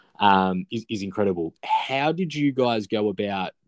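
With an Australian accent, the voice shows ordinary pitch variation. The sound is dry and close with no echo, over a quiet background. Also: man. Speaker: podcast host. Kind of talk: casual chat.

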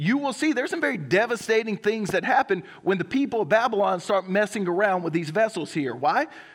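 With a Southern US accent, a man talks with high pitch and lively intonation, leaving hardly any pauses. The recording is very clean, with a silent background. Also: fairly quick pace. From South Carolina. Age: 30s. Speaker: pastor. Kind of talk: sermon. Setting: church.

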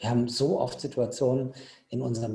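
This man has a medium-pitched voice with a dark, mellow tone. He sounds somewhat breathy and speaks at a moderate pace. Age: 50s. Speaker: ultra trail runner. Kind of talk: casual chat.

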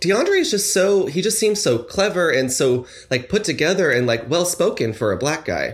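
A man with an American accent talks at a fairly slow pace in a somewhat breathy voice, his pitch swinging very widely. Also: very clean recording, silent background. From North Carolina (Fayetteville), early years Los Angeles area. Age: 20s. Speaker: podcast guest. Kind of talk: casual chat.

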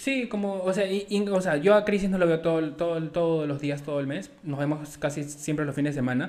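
Fairly high in pitch with ordinary pitch variation, a man talks at a fairly quick pace with hardly any pauses in an unremarkable speaking voice. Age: 20s. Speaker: podcast host. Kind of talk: casual chat.

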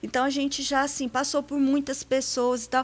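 A woman talks at a high pitch. Her pace is moderate. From Paraná, Brazil. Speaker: businesswoman and accountant. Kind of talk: radio interview. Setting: radio studio.

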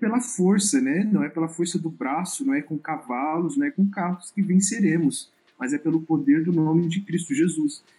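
Using lively intonation at a moderate pace, a man speaks with a high pitch and a dark, mellow tone. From Rondônia, Brazil. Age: 20s. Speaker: photographer and missionary. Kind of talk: podcast interview.

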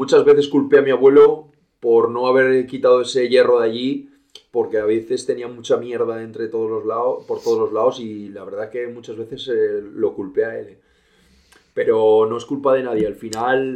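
A dark, mellow tone in a monotone, flat delivery at a moderate pace, with big swings in loudness. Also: man, medium pitch for a man. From Spain, León province. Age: 30s. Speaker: horse trainer. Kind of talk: interview.

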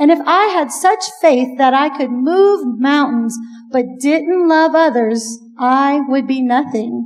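A woman at a fairly slow pace, high in pitch, with ordinary pitch variation. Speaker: church women's event host. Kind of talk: event introduction.

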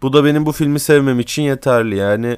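Talking at a fairly quick pace, the man has an unremarkable speaking voice. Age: 20s. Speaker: podcaster, university student. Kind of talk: solo monologue podcast.

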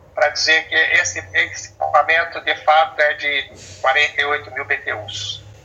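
There is noticeable noise in the background. Over it, a man talks. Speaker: engineer and family business owner. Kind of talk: interview.

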